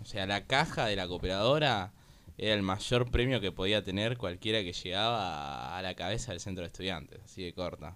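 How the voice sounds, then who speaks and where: A man with a Rioplatense accent speaks at a moderate pace, his very deep, low voice carrying a bright, sharp tone. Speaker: guest, kinesiology student and content creator. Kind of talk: casual chat.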